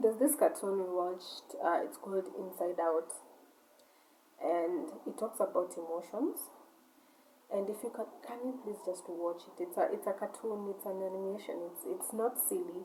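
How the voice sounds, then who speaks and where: A woman with a non-native accent speaks at a moderate pace. Her medium pitch carries lively intonation. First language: not English. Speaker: vlogger, shop owner. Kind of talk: casual monologue rant. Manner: halting, repetitive.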